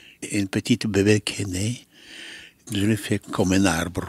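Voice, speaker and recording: A man speaks very slowly at a fairly low pitch. His voice is somewhat breathy, and the sound is dry and close with no echo. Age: 90s. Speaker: sculptor. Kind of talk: interview. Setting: artist's workshop. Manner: halting.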